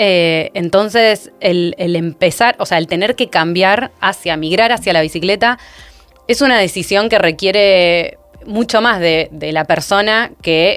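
Over music in the background, a woman speaks fairly slowly at a fairly low pitch with ordinary pitch variation. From Argentina. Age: 30s. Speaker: urban cycling expert. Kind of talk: podcast interview discussion. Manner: halting with frequent repetitions.

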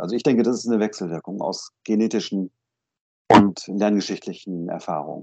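A dark, mellow tone comes at a moderate pace with ordinary pitch variation against a quiet background. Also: man. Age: 50s. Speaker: psychotherapist. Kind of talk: interview.

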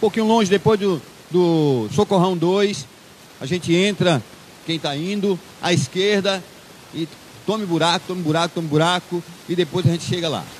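A man talks at a moderate pace with long, frequent pauses and noticeable background noise behind him. His pitch is high and varies in an ordinary way. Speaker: preacher. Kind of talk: sermon. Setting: church. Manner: conversational and didactic; earnest, exhortative.

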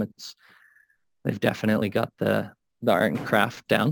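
With an American accent, a man speaks in a flat monotone at a medium pitch and a moderate pace. The sound is dry and close with no echo, on a very clean recording with a silent background. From rural Minnesota. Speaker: coffee roaster and cafe owner. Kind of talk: casual interview.

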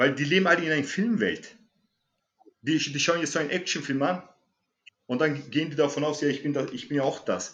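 A man talks at a fairly quick pace and a fairly high pitch, with ordinary pitch variation. He pauses long and often, and the room echo is audible. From Germany. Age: 40s. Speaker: martial arts instructor. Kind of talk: interview.

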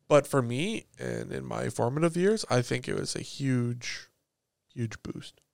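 A man speaks with a Canadian accent. His pace is fairly slow. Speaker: podcast host. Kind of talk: casual chat.

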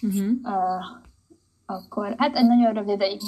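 A woman speaks at a fairly slow pace in a fairly high pitch, her intonation monotone and flat. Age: 20s. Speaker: artist and graphic design student. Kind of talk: casual interview. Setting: podcast interview.

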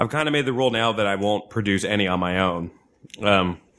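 An American-accented man speaks at a fairly quick pace with a fairly low pitch. It is an unremarkable speaking voice. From New Jersey. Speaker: stand-up comedian. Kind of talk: casual chat. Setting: studio.

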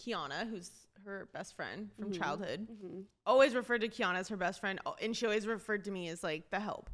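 Using ordinary pitch variation, a woman talks at a fairly quick pace. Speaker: podcast co-host.

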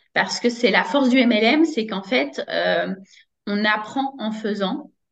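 A woman's very slow, somewhat breathy speech, fairly high in pitch with ordinary pitch variation. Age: 30s. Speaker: network marketing coach, former teacher. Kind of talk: interview testimony.

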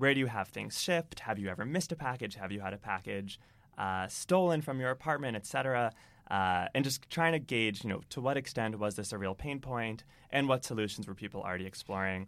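A plain, everyday voice with an American accent moves at a fairly quick pace with lively intonation, in a very clean recording with a silent background. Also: man, medium pitch for a man. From Massachusetts, Boston area. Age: 20s. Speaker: entrepreneur. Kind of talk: interview.

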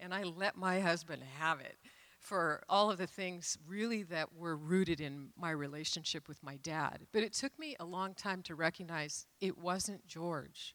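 A woman with a plain, everyday voice speaks at a fairly slow pace with hardly any pauses, her fairly low pitch showing ordinary variation. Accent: American. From US Pacific Northwest (Renton, Washington). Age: 60s. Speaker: church member sharing testimony. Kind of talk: testimony. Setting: church stage.

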